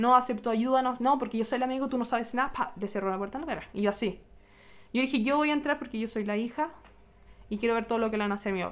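A woman speaks at a very fast pace with a Chilean accent. Her pitch is fairly high, with ordinary pitch variation. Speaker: vlogger. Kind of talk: vlog storytelling. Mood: upset, telling bad experience. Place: home room. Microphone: phone near.

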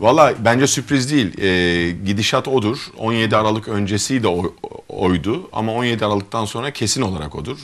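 Lively intonation from a man at a fairly low pitch, a moderate pace and hardly any pauses. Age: 40s. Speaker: gynecologist and mayoral candidate; candidate. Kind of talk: interview. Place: studio. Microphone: lapel.

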